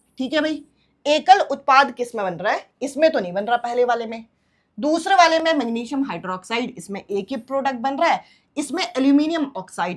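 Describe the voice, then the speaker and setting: A woman's high-pitched voice at a moderate pace, with very wide pitch swings. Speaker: online exam-prep teacher. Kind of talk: lecture. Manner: bilingual Hindi-English explanation.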